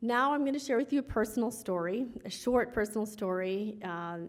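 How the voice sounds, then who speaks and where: A woman with a Midwestern US accent talks at a medium pitch. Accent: US Midwest. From Chicago western suburbs. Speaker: lawyer, award honoree. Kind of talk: award acceptance speech. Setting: gala stage with audience.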